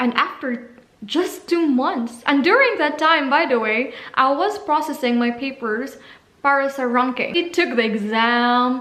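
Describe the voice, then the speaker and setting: Speaking with a Visayan Filipino accent, a woman uses a high pitch and lively intonation at a fairly slow pace. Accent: Filipino (Cebuano) English. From Philippines, Cebu. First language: Cebuano. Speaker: vlogger, au pair. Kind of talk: casual vlog talk.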